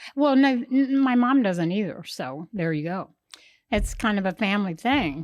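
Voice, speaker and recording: A woman with an American accent speaks at a moderate pace. Her pitch swings very widely. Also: medium pitch for a woman. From Kansas. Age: 80s+. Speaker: host's mother, guest. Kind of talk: interview conversation.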